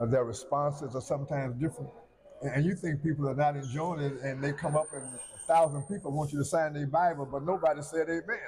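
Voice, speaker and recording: Somewhat breathy, a man talks at a very fast pace and a fairly high pitch. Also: fairly even intonation. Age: 70s. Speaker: pastor. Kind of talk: interview. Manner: halting, with many fillers.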